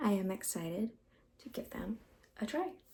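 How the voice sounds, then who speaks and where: Soft-spoken and somewhat breathy, a woman has a fairly high pitch. Her tone is dark, mellow and relaxed. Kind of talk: ASMR get ready with me, casual talk to camera. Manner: soft-spoken, relaxed.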